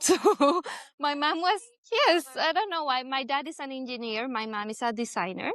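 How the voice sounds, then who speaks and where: The speaker, in a Spanish accent, moves along at a moderate pace. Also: woman. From Colombia, Bogota. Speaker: doctor. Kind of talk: casual interview.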